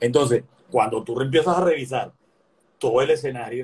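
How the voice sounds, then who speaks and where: At a moderate pace, a man talks in a somewhat breathy voice of medium pitch with ordinary pitch variation. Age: 60s. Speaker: physician and opposition politician. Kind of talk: political interview conversation.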